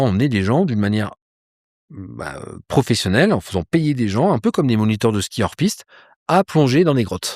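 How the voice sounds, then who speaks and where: In a very clean recording with a silent background and a dry, close sound with no echo, a man speaks at a moderate pace with medium pitch and lively intonation. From France, Troyes. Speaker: polar explorer and ice-diving instructor. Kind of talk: interview. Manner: casual, hesitant with many fillers.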